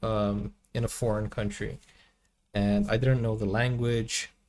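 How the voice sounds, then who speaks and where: A man's somewhat breathy voice comes through at a fairly slow pace. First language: Portuguese. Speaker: movie reaction youtuber and language teacher. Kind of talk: casual reaction commentary.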